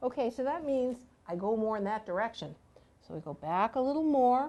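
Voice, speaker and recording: Her voice is fairly high with a dark, mellow tone, and the woman moves at a fairly quick pace through very wide pitch swings. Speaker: massage therapist and instructor. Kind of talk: live demonstration tutorial.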